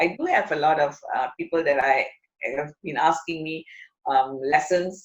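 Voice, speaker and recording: Her delivery is a normal speaking voice, as a woman talks at a moderate pace with ordinary pitch variation. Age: 60s. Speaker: chef. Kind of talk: interview.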